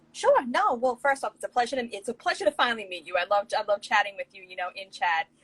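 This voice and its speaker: A woman with an American accent talks at a very fast pace with hardly any pauses, her fairly high pitch swinging very widely and her loudness shifting in big swings. The sound is dry and close, with no echo. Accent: New York accent, tame now. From Long Island, New York. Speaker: writer. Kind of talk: casual chat. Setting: video call. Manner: animated.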